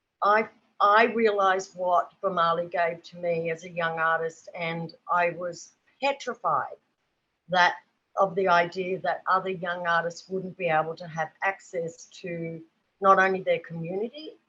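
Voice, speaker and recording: A woman with an Australian accent, a bright, sharp tone, fairly low pitch, fairly even intonation, big swings in loudness and a fairly slow pace. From rural New South Wales, Australia. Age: 60s. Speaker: artist and children's book illustrator. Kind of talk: panel discussion. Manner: halting, many fillers.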